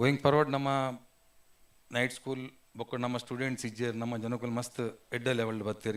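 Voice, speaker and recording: A man talks in a medium pitch with fairly even intonation. The recording is very clean, with a silent background. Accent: coastal Karnataka. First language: Tulu (speaking Kannada). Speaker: community association president. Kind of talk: formal speech at business event. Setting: hotel event hall with audience.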